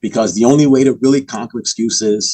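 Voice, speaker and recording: A man speaks in a dark, mellow tone, the sound dry and close with no echo. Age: 60s. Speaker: author and podcaster. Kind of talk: casual chat.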